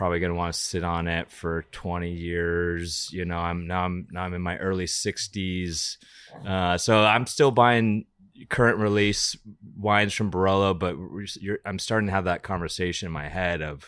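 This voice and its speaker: Very deep and low in pitch, this man's voice keeps a fairly even intonation. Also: moderate pace. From US West Coast, Napa Valley. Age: 40s. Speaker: winemaker. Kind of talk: casual chat. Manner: hesitant, many fillers and repeated words.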